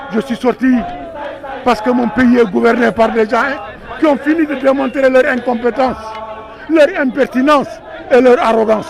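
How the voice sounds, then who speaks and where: Crowd noise fills the background as a man speaks in an extremely high pitch for a man, with fairly even intonation. He keeps a moderate pace but takes long, frequent pauses. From Senegal (Thiès). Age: 70s. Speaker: retired politician, activist. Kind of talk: protest speech. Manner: impassioned, emphatic; halting repetitions.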